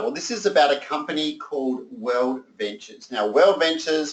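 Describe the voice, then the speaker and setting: With lively intonation, a man in an Australian accent speaks at a fairly high pitch. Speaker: sales presenter. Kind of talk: sales pitch. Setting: conference call. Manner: animated.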